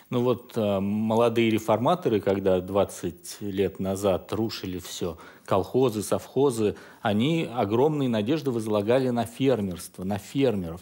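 A man speaks in a fairly low pitch with a dark, mellow tone and ordinary pitch variation. His pace is fairly slow, and the background is quiet. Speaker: TV talk show host. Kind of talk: studio discussion moderating. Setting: studio. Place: studio. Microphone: headset.

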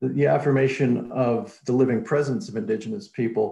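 The voice has a dark, mellow tone with vocal fry and ordinary pitch variation. It moves at a moderate pace amid audible room echo. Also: man. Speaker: academic host introducing speaker. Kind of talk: formal introduction.

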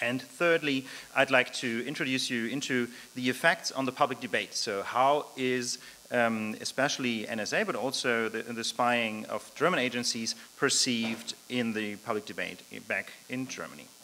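A man's pitch varies in an ordinary way as he talks at a moderate speed. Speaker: speaker. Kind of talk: lecture. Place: hall. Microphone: podium.

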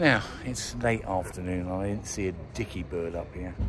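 A man speaks at a moderate tempo. Background music can be heard behind him. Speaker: nature vlogger. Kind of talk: casual vlog chat. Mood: cheerful, enthusiastic. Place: open country. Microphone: phone near.

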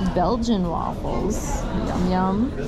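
A woman speaks over loud background noise. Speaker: travel vlogger. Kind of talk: casual vlog chat. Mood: cheerful, relaxed. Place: cafe. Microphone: phone near.

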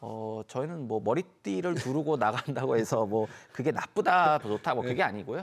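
A man's lively intonation carries at a moderate pace over a quiet background. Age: young. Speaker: labor union leader; guest. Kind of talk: news interview. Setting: studio. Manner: halting, many fillers. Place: studio. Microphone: lapel.

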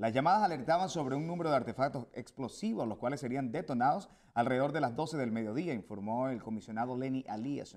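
A man talks at a fairly quick pace with lively intonation. The background is quiet. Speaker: news anchor. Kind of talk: news reading. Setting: studio. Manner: formal, brisk and steady broadcast delivery. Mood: calm, formal. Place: studio. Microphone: lapel.

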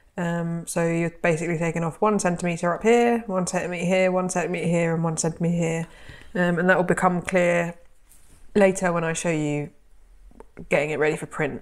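Speaking with a British accent, a woman keeps her intonation fairly even. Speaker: sewing content creator and pattern designer. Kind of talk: tutorial. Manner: casual, friendly.

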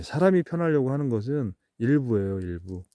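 A man's voice has a dark, mellow tone at a moderate pace. The sound is dry and close with no echo, over a quiet background. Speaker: kiwiberry farmer. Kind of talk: outdoor farm tutorial vlog. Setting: outdoors in an orchard. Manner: casual, with many fillers.

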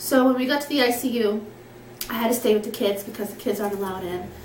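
Speaking at a fast pace, a woman with a slightly mellow tone and fairly high pitch shows ordinary pitch variation amid audible room echo.

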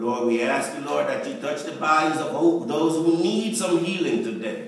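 Strong room echo and light background noise accompany a man with a high pitch who talks at a fairly slow pace with very wide pitch swings. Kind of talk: prayer. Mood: earnest, reverent. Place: church. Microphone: camera far.

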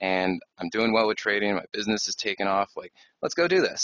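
Speaking at a very fast pace, a man uses a fairly low voice. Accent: American. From Phoenix, Arizona. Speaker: trading educator. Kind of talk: webinar presentation. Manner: hesitant, many fillers.

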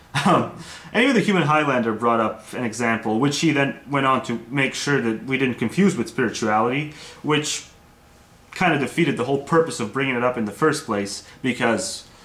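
With audible room echo around him, a man speaks at a fairly quick pace and uses ordinary pitch variation. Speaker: video blogger. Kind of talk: casual vlog argument. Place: home room. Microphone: webcam.

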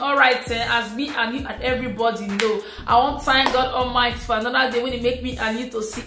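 Clear music plays behind a woman whose raised, projected, high-pitched voice moves at a fairly quick pace. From Nigeria. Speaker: YouTuber. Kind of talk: casual talk to camera. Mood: animated, acting out frustration. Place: home room.

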